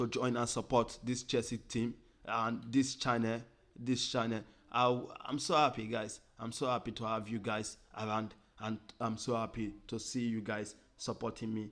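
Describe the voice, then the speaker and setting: A man of medium pitch speaks at a moderate pace with an African accent. His intonation is monotone and flat. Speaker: football fan channel host. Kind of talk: live stream commentary. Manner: halting, repetitive.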